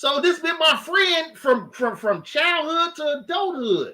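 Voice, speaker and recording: A man speaks with a Chicago accent at a moderate pace. His voice is raised and projected, with lively intonation. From Chicago, South Side. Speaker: podcast co-host. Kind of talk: casual chat.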